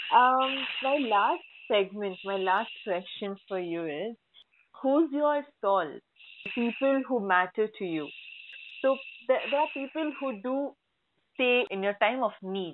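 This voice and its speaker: With lively intonation and a fairly high pitch, a woman speaks at a very slow pace with long, frequent pauses. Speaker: podcast host. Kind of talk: interview.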